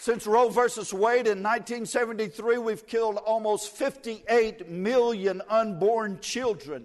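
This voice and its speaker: Delivered in a Southern US accent, the speech is very slow with fairly even intonation and hardly any pauses. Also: man, high pitch for a man. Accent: US South. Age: 60s. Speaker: evangelist. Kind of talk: sermon.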